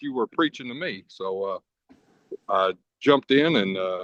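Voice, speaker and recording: Speaking with a Kentucky accent, a man talks at a medium pitch. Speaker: diesel mechanic, podcast guest. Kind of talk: personal testimony in casual interview. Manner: halting, many fillers and stutters.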